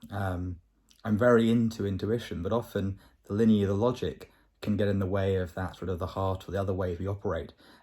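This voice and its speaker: This man has a southern English accent and a dark, mellow, somewhat breathy tone at a fairly low pitch. He talks at a fairly quick pace with fairly even intonation, and the recording is very clean over a silent background. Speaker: vlogger. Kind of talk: video diary. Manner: fast.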